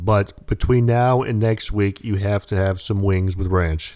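On a very clean recording with a silent background, a man with an American accent speaks at a moderate pace in a fairly low pitch with a dark, mellow tone and ordinary pitch variation. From United States. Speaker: podcast co-host. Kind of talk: casual chat.

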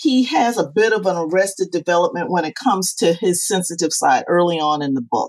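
In an ordinary speaking voice, a woman of medium pitch talks at a fairly quick pace with lively intonation and hardly any pauses. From Charleston, South Carolina. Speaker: author. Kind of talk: casual interview.

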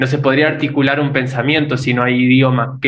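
A man's voice at a medium pitch. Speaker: podcast co-host, son. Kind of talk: casual conversation. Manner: halting, repeats words.

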